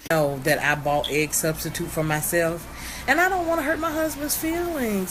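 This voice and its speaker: Moderate pace, noticeable background noise, and audible room echo. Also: woman. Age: 40s. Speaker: vlogger and mother. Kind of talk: casual vlog. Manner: conversational, chatty.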